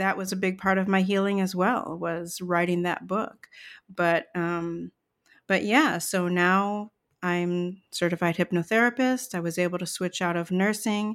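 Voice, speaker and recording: In a plain, everyday voice with an American accent, the speaker goes at a fairly slow pace with fairly even intonation on a very clean recording with a silent background. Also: woman, medium pitch for a woman. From US Midwest, Chicago suburbs. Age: 50s. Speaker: nurse turned therapist-coach. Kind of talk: personal testimony interview.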